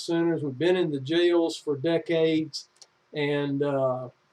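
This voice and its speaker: Someone with a North Carolina accent speaks in a dark, mellow tone. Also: man. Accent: Southern US (North Carolina). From US South, North Carolina (Anson County). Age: 60s. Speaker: executive director of a prison reentry nonprofit. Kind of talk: informational talk to camera. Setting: home office. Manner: casual, folksy, with fillers.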